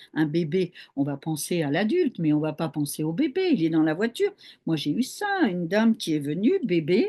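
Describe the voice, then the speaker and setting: A woman speaks with a dark, mellow tone at a fairly low pitch. Her intonation is lively and her pace moderate. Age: 70s. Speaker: hypnotherapist. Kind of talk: interview.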